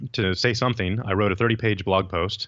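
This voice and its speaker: A normal speaking voice from a man, fairly low in pitch, at a fairly quick pace with an American accent. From Texas, San Antonio. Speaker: entrepreneur. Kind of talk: interview.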